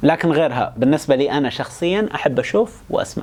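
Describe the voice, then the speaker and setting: This man's voice is fairly high with lively intonation. He talks at a fairly quick pace. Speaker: educational YouTuber. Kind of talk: explainer monologue. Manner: fast; casual, colloquial.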